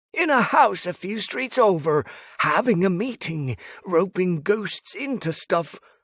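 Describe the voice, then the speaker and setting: Using a put-on character voice, a man speaks in a nervous tone at a high pitch and a fairly slow pace. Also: very clean recording, silent background. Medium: read story. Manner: nervous, flustered, stammering.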